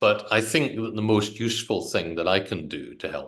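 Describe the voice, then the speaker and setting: Speaking with a British accent, a man keeps a moderate pace. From Britain. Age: 60s. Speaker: politician. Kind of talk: interview.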